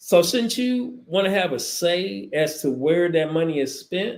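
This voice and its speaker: A man with an American accent, high-pitched, with lively intonation and a fairly slow pace. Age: 60s. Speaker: talk show host. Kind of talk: talk show commentary. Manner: hesitant, frequent fillers.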